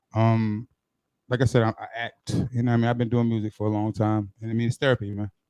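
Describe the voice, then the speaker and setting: In an American accent, a man speaks very fast at a medium pitch with monotone, flat intonation, the sound dry and close with no echo and music playing in the background. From New York City, Brooklyn. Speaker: singer-songwriter. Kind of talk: casual interview.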